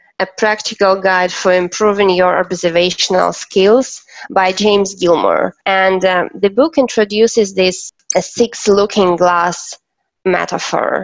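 Speaking with a Russian accent at a fairly slow pace, the voice keeps very even loudness and fairly even intonation. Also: woman, medium pitch for a woman. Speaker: events consultant. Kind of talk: interview. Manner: halting.

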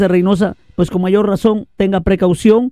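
A man talks at a moderate pace and high pitch, with music in the background. The sound is dry and close, with no echo. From Veracruz, Mexico. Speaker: radio news host. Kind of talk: casual news show hosting. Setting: live online radio studio.

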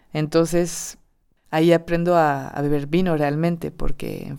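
In a very clean recording with a silent background, a woman speaks with a very deep, low pitch, a dark, mellow tone and monotone, flat intonation. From southern France, Perpignan. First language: French (speaking Spanish). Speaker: storyteller. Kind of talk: personal testimony. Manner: hesitant, many repetitions.

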